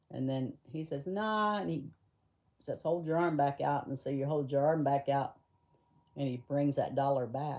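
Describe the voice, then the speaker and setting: A woman speaks in an animated tone at a moderate pace. Her pitch is very deep and low. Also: ordinary pitch variation. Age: 60s. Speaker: pet livestreamer. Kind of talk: casual chat. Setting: livestream.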